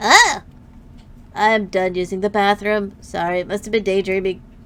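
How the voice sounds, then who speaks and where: A female-sounding, put-on character voice at a middle pitch. The pace is moderate. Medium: virtual streamer. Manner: hesitant, awkward.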